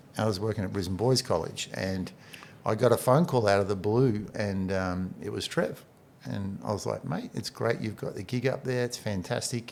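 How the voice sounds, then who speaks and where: With an Australian accent, a man speaks at a fairly low pitch with vocal fry and ordinary pitch variation. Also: moderate pace. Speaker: basketball coach and administrator. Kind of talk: casual chat.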